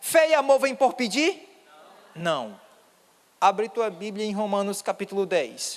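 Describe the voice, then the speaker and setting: Speaking at a high pitch, a man uses lively intonation at a fairly slow pace, with long, frequent pauses. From Ceará, northeast Brazil. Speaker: pastor. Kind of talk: sermon. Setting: church.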